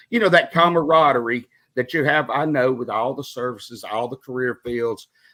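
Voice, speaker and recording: In a Southern US accent, a man talks at a moderate pace and medium pitch. The recording is very clean, with a silent background. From Mississippi, Meridian. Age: 50s. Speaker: retired air traffic controller, podcaster. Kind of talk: interview.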